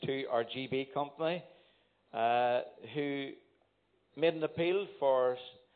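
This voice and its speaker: Someone with a Northern Irish accent speaks at a very slow pace, with ordinary pitch variation. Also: man. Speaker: church elder giving announcements. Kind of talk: church announcements. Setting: church.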